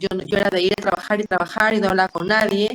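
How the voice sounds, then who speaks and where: A woman's medium-pitched voice at a very fast pace, with monotone, flat intonation. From Peru. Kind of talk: group discussion sharing personal experience.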